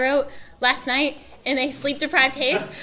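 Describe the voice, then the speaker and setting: A woman's raised, projected voice with a bright, sharp tone. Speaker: fandom voice actor, panelist. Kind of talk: convention panel talk.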